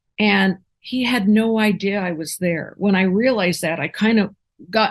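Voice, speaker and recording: Against a quiet background, a woman speaks fairly slowly in a somewhat breathy, medium-pitched voice with ordinary pitch variation. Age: 60s. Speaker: near-death experiencer. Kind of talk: interview testimony. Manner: halting.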